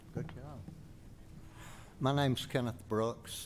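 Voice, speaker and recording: A man with a Southern US accent and a medium pitch talks at a fairly slow pace. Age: 80s+. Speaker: resident speaking at public hearing. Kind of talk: public comment at planning meeting.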